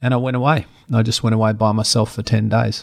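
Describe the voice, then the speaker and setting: This very clean recording has a silent background. On it, a man speaks with an Australian accent. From rural Australia. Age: 50s. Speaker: presenter and personal trainer. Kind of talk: interview. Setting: home studio. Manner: animated.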